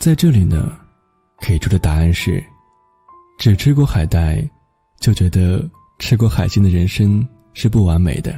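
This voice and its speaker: Music plays in the background as fairly slow speech with very wide pitch swings is broken by long, frequent pauses. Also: man, fairly low pitch for a man. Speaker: radio host. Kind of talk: radio narration, personal essay reading.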